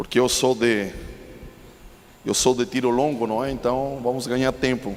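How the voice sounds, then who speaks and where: A man speaks with a Chilean accent at a moderate pace. His intonation is monotone and flat. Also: medium pitch for a man. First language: Spanish (speaking Portuguese). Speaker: preacher. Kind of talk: sermon.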